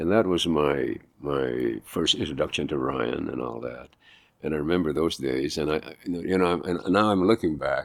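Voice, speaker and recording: Very deep, low-pitched male voice with vocal fry at a moderate pace. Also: ordinary pitch variation. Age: 80s+. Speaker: actor; pastor. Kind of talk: interview answer. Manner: casual, conversational.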